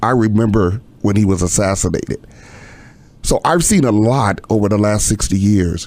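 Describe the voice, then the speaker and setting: At a moderate pace, a man with fairly low pitch speaks with ordinary pitch variation. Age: 60s. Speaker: pastor. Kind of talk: casual chat. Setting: studio.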